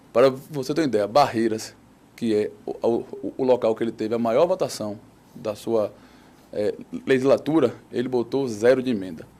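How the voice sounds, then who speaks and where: This man's voice has a dark, mellow tone at medium pitch. He speaks at a moderate pace with ordinary pitch variation. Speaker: mayoral candidate. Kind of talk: political debate. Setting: TV studio.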